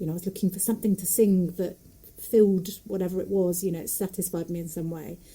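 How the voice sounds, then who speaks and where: In a Nottingham accent, a woman talks at a very fast pace with fairly even intonation. Her tone is dark and mellow, and somewhat breathy. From English Midlands, Nottingham area. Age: 40s. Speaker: folk singer, puppeteer and storyteller. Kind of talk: casual interview chat.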